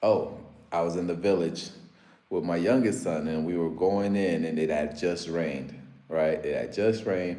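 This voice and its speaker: A man's very deep, low voice, animated in tone, at a moderate pace amid audible room echo. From US, Africa-born. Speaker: live streamer. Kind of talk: casual live stream chat.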